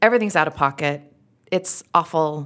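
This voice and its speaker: A woman's very deep, low-pitched voice with a strong Utah accent. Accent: thick Utah. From Utah, US. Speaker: actress, comedian and podcast host. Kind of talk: casual interview chat.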